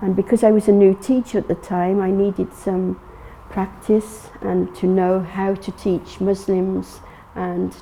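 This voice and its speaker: With flat, monotone intonation, a woman talks at a fairly slow pace and medium pitch over noticeable background noise. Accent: English. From England. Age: 60s. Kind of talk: personal testimony interview. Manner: halting, many fillers and restarts.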